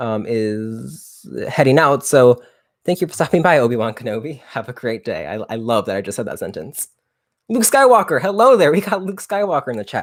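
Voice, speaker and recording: Speaking at a fairly quick pace, a man with a fairly high pitch makes very wide pitch swings on a very clean recording with a silent background. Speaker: youtuber. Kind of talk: live stream chat. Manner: peppy.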